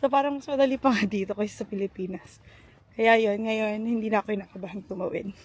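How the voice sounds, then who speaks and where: Somewhat breathy, a woman speaks at a fairly quick pace with very wide pitch swings. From Philippines. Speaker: vlogger and teacher. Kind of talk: casual vlog. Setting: outdoors.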